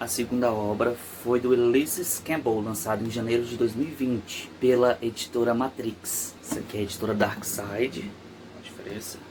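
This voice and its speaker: Soft-spoken and at a moderate pace, a man talks at a medium pitch with fairly even intonation over noticeable background noise. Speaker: YouTuber. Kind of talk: true crime commentary. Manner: casual.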